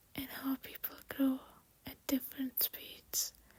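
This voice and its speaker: A woman whispers in a gentle, calm tone. Her pace is very slow. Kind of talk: soft late-night voiceover ramble. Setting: voiceover recorded over makeup video. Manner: soft-spoken, gentle, calm.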